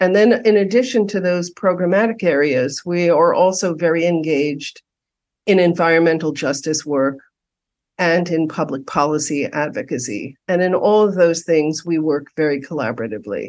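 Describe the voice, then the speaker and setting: In a plain, everyday voice, a woman with an American accent and a fairly low pitch speaks at a moderate pace with lively intonation against a quiet background. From New York City, Upper West Side. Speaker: community housing nonprofit director. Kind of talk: interview.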